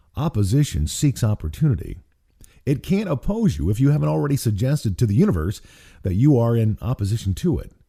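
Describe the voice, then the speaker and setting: A man with a medium-pitched, somewhat breathy voice and a dark, mellow tone races along at a very fast pace with very wide pitch swings, captured in a very clean recording with a silent background. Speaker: author and radio broadcaster. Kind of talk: audiobook reading of own spiritual book. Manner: warm, peaceful.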